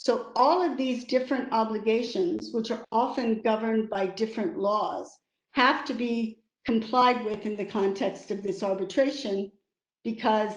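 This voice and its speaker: A woman speaks with an American accent at a moderate pace. Her pitch is fairly high with ordinary pitch variation, an unremarkable speaking voice. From United States. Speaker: lawyer and arbitrator. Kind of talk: webinar talk.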